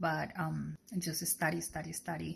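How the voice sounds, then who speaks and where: A woman speaks with a Colombian accent. Her pace is fairly slow. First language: Spanish. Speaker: sonography student. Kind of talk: personal testimony. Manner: halting.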